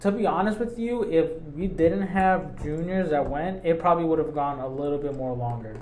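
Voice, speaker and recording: A man's fairly high voice with lively intonation at a moderate pace, hardly any pauses, audible room echo and noticeable background noise. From Mexican-American, US. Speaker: podcast co-host. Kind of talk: casual chat. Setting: studio.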